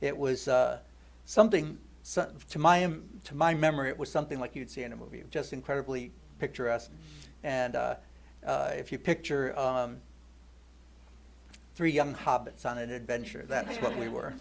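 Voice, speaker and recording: A man with an American accent speaks with long, frequent pauses, and the room echo is audible. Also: moderate pace. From US Midwest, northern Ohio. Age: 60s. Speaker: congregation member giving a talk. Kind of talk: personal testimony. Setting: church service. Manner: halting, many fillers and repeats.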